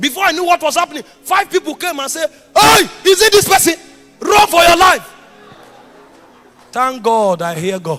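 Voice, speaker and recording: With music in the background, a man with a Nigerian accent speaks at a moderate pace in a raised, projected, extremely high voice, using lively intonation and long, frequent pauses. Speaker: preacher. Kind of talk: sermon.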